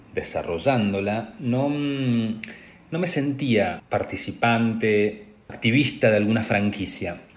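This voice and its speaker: At a fairly slow pace, a man talks at a medium pitch with ordinary pitch variation and audible room echo. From Argentina, Patagonia (Trelew, Chubut). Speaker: graduate student. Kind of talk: personal narrative for a class assignment.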